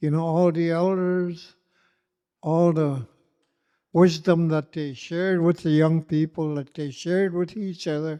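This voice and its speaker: Against a quiet background, a man with a high pitch and a dark, mellow tone speaks in a flat monotone. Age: 80s+. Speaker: elder. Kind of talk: closing remarks at a community gathering. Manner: halting, many fillers.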